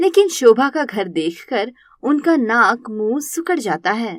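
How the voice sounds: With a fairly high pitch and big pitch swings, a woman speaks at a fairly slow pace.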